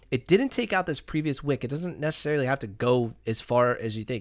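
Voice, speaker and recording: A man at medium pitch talks fairly quickly with hardly any pauses, his tone animated and intonation lively, in a very clean recording with a silent background. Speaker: day trader streaming live trades. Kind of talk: live trading commentary. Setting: live stream. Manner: fast.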